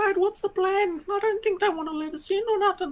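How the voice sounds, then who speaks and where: A man's squeaky, put-on character voice, extremely high in pitch, at a fairly quick pace. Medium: actual play. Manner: casual, matey.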